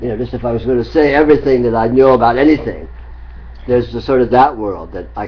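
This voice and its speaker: The man's delivery is very fast. Noticeable noise sits in the background throughout. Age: 60s. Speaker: spiritual teacher. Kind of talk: spiritual dialogue. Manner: halting.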